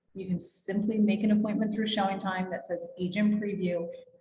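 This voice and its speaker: Monotone, flat intonation comes at a fairly quick pace in an American accent, with noticeable background noise. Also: woman. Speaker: real estate agent and trainer. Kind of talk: workshop presentation.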